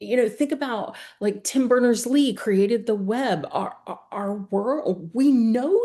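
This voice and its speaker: Speaking very slowly with hardly any pauses, a woman with a Texan accent has a fairly high pitch and a dark, mellow tone. Her pitch varies in an ordinary way against a quiet background. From Texas, Houston. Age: 60s. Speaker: accessibility professional. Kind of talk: casual chat.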